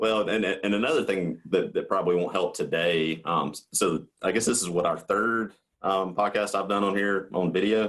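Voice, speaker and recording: A man with a Southern US accent talks at a moderate pace and fairly low pitch, with ordinary pitch variation and hardly any pauses. His loudness stays very even, and the recording is very clean with a silent background. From US South. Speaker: coatings market manager. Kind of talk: podcast interview. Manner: halting, many fillers and repeats.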